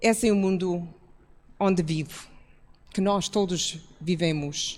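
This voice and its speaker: Here a woman speaks at a fairly slow pace. Her medium-pitched voice keeps a fairly even intonation. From outside Portugal. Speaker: church pastor. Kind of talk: public talk.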